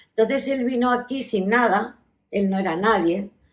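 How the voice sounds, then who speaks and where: With ordinary pitch variation, a woman talks at a moderate tempo. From Melilla, Spain. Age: 60s. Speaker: oral history interviewee. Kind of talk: life story interview. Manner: halting, with many fillers.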